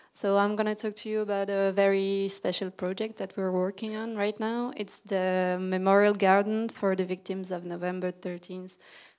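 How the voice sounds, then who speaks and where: A woman's medium-pitched voice with a French accent, monotone and flat, at a moderate pace, in a very clean recording with a silent background. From Belgium (Brussels). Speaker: landscape architect. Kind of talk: lecture.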